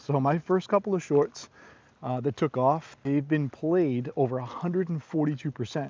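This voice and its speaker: In an American accent, a man speaks at a moderate pace with a fairly high pitch and ordinary pitch variation. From New England (Boston). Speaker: YouTuber. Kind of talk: casual live stream chat. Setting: outdoors walking the dog. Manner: halting, repetitive.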